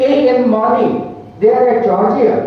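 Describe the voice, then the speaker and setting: With noticeable background noise and audible room echo, a woman speaks at a fairly slow pace, her fairly high pitch held in a fairly even intonation. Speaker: conference chief patron; academic administrator. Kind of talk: welcome address. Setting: conference hall with audience. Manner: loud.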